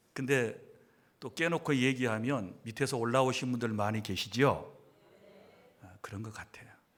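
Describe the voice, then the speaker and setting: Pausing long and often, a man speaks at medium pitch with ordinary pitch variation and big swings in loudness, with audible room echo around him. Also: moderate pace. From South Jeolla, Sinan County. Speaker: pastor. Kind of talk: lecture.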